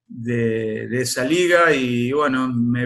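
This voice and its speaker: This is a man's voice. It has a medium pitch. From Argentina, Córdoba province. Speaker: former footballer. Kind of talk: interview. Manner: hesitant, many fillers.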